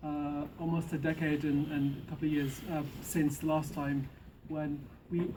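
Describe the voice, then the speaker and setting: In a room with audible echo, a man's fairly high, somewhat breathy voice has a dark, mellow tone and a monotone, flat intonation. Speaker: activist speaker. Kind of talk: public speech. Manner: soft-spoken.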